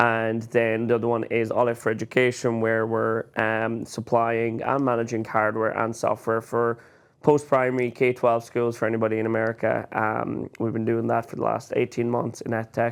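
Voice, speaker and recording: An Irish accent at a moderate pace, monotone and flat in intonation, with hardly any pauses over a quiet background. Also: man, medium pitch for a man. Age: 20s. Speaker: podcast co-host, business owner. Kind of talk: casual chat.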